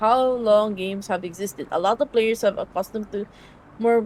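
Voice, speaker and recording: At a fairly quick pace, the speaker talks with fairly even intonation and a slight Filipino accent. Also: woman. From Philippines. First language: Filipino language. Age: 20s. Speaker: streamer. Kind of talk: casual live stream chat with reading game text.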